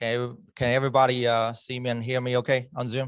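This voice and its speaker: Monotone, flat intonation marks a man speaking at medium pitch and a moderate pace. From China. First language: Chinese. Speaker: club member giving a speech. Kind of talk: prepared speech. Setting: club meeting in person, also on Zoom.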